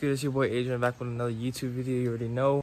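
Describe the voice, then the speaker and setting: Light background noise sits under a man's monotone, flat delivery, recorded with a dry sound and no echo. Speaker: youth soccer player vlogger. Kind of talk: casual vlog chat. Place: street. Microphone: phone near.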